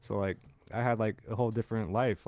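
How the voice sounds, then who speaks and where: A man with an American accent speaks at a medium pitch in a dark, mellow tone, recorded dry and close with no echo. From San Francisco, California. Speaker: podcast co-host. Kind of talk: casual chat.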